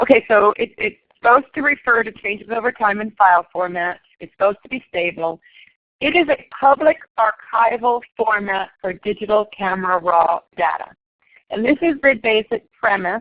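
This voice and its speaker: Using lively intonation and big swings in loudness, a woman with an unremarkable speaking voice and a fairly high pitch talks at a moderate pace. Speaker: photography instructor. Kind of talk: lecture. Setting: classroom.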